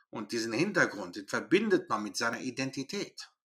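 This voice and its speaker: A man talks with a fairly high pitch and very wide pitch swings. His tone is bright and sharp. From Germany, Greek roots. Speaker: historian and author. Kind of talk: interview.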